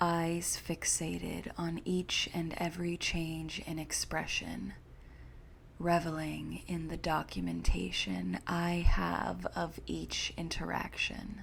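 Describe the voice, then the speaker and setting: A soft-spoken voice moves at a very slow pace. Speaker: horror story narrator. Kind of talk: sleep story.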